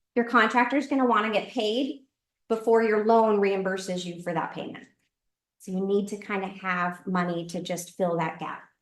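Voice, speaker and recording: A woman's voice of medium pitch with ordinary pitch variation. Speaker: real estate investing instructor. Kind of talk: lecture. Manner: fast.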